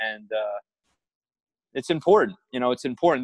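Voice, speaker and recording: With a normal speaking voice, this man holds a medium pitch that varies in an ordinary way. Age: 30s. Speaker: baseball coach and mental game trainer. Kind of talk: casual interview. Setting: video call.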